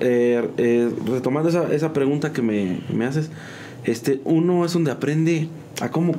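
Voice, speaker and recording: With lively intonation, a man speaks in a room with audible echo. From Mexico, San Juan del Río, Querétaro. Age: 30s. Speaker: musician and graphic designer. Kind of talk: casual interview.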